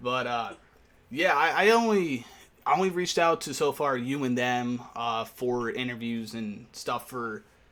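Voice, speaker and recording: A man speaks at a fairly slow pace in a medium pitch, with ordinary pitch variation, on a very clean recording with a silent background. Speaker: radio DJ interviewing bands. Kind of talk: casual interview chat. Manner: halting, stumbles over words.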